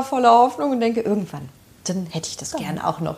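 A woman's pitch swings very widely. Noticeable noise sits in the background. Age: 30s. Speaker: social worker and home decor enthusiast. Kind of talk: casual interview. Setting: at home in her kitchen.

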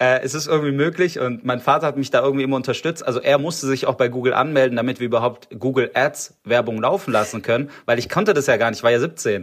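Here a man speaks at a fairly quick pace in a fairly high pitch, with ordinary pitch variation. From Stuttgart, Swabia, Germany. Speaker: startup founder. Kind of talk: interview. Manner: hesitant, many filler sounds.

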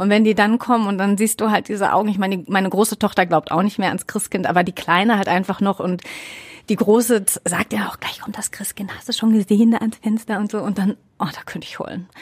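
A woman speaks at a very fast pace in a medium-pitched, somewhat breathy voice, her intonation fairly even while her loudness swings widely. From Ruhr area, Germany. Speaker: radio presenter. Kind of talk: casual chat. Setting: studio.

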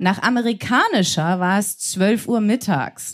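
The background is silent and the recording very clean. A woman talks at a very slow pace. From Germany. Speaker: stage reader. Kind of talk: reading aloud. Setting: stage with audience.

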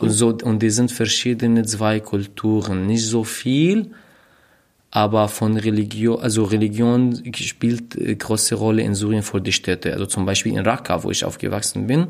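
The recording is very clean, with a silent background. A man speaks at a moderate pace and fairly low pitch, his intonation fairly even. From Syria. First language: not German (speaking German). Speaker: refugee, podcast guest. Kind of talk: casual chat. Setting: at host's flat. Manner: halting, searching for words.

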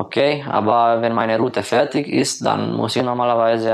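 A man with a Romanian accent speaks at a medium pitch. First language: Romanian (speaking German). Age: 20s. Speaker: delivery driver. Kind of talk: voice messages. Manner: halting.

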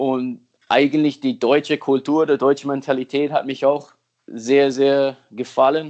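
This man's fairly high voice stays monotone and flat, with very even loudness and a fairly slow pace. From US, Miami. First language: English (speaking German). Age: 30s. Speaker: football technique coach. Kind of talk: interview. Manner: halting.

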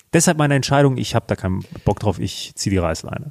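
Words pour out of this man at a very fast pace. The pitch of his voice swings very widely. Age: 20s. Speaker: finance podcast co-host. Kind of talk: casual chat.

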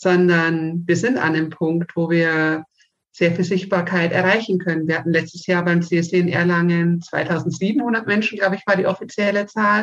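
With a plain, everyday voice, a woman speaks at a fairly low pitch. Her pace is fairly slow and her intonation fairly even. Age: 30s. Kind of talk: interview.

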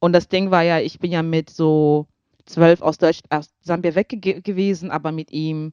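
Fairly low-pitched woman with a dark, mellow tone, ordinary pitch variation and a moderate pace, in a dry, close sound with no echo and a quiet background. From Zambia. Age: 20s. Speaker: singer. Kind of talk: casual chat.

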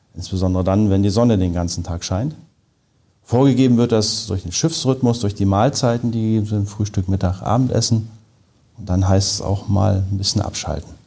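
Using a normal speaking voice, a man with a fairly low pitch talks at a fairly quick pace with ordinary pitch variation. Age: 40s. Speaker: engineer and polar researcher. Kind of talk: interview.

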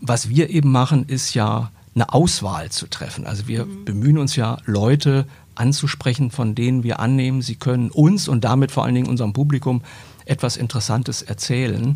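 A man's somewhat breathy voice at medium pitch, dark and mellow in tone, at a fairly quick pace. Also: ordinary pitch variation. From Germany, moved around (Braunschweig, Cologne). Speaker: newspaper editor and podcaster. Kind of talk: interview.

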